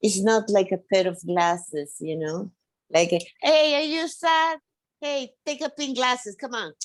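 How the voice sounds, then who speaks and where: A woman with a Spanish accent speaks at a fairly slow pace and a medium pitch, her pitch swinging very widely. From Venezuela. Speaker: podcast guest. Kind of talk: casual chat. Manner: halting.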